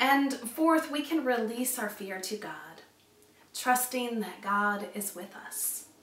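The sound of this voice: In strong room echo, a woman speaks slowly with fairly high pitch, ordinary pitch variation and a fairly bright tone.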